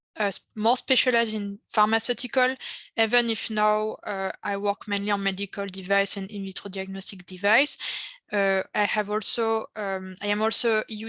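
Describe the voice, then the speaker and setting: In a French accent, a woman speaks with a bright, sharp tone and monotone, flat intonation. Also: dry, close sound with no echo. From France. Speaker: pharmacist, regulatory affairs panelist. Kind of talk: panel discussion.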